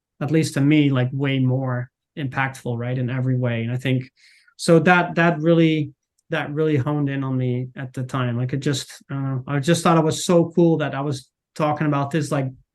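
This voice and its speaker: Speaking with a Dutch accent, a man uses a fairly high pitch, fairly even intonation and a moderate pace. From Netherlands. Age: 40s. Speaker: marketing manager. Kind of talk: podcast interview. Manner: halting, many fillers and repeats; casual.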